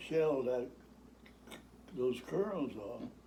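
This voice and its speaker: Audible room echo surrounds a man whose voice is fairly high. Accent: American. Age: 90s. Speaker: retired farmer. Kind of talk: storytelling. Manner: halting.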